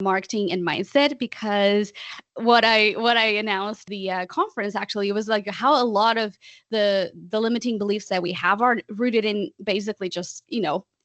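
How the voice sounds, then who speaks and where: A non-native accent at a moderate pace with ordinary pitch variation. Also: woman, medium pitch for a woman. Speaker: podcast founder and coach. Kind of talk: interview answer. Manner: outgoing, talkative.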